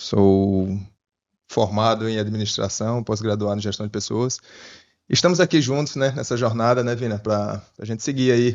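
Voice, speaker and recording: A man with a northeastern Brazilian accent and ordinary pitch variation. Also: medium pitch for a man, moderate pace. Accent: northeastern Brazilian (Sergipe). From Sergipe, northeastern Brazil. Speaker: podcast co-host, mining worker. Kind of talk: casual podcast chat.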